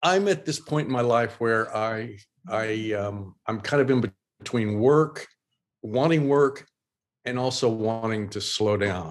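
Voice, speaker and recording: A man talks in a plain, everyday voice with an American accent, at a fairly slow pace. His pitch is medium, with ordinary variation. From Oklahoma. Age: 60s. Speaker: illustrator and designer. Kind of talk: casual interview. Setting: video call.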